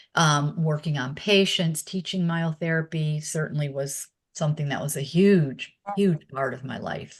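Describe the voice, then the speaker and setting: The speech moves at a moderate pace, somewhat breathy and fairly even in intonation. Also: woman, very deep, low pitch for a woman. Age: 60s. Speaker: former exercise instructor and myotherapist. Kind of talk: interview. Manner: hesitant, many filler words.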